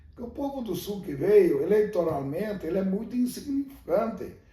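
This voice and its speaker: A man is speaking. He keeps a moderate pace. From Rio Grande do Sul, Brazil. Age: 60s. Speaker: former mayor. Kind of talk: interview answer.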